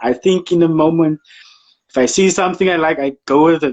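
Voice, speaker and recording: A man with a South African accent talks at a moderate pace. His voice is high-pitched for a man, with ordinary pitch variation. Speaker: photographer. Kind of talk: casual interview chat.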